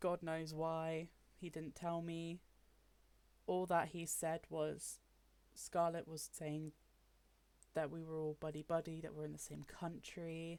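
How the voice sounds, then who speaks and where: A woman with a British accent, monotone, flat intonation, a fairly slow pace and long, frequent pauses. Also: fairly low pitch for a woman. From UK. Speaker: gaming YouTuber. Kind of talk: personal commentary. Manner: frustrated, emphatic.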